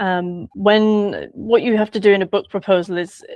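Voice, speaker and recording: In a flat monotone at medium pitch, a woman speaks with a dry, close sound and no echo. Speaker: author. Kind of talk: interview. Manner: halting.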